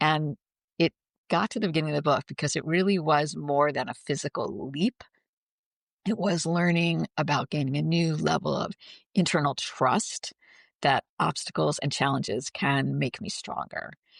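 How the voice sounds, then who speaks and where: With vocal fry, a woman speaks at a very deep, low pitch. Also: ordinary pitch variation, moderate pace, dry, close sound with no echo. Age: 60s. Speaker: author and former corporate leader. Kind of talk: interview. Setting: podcast.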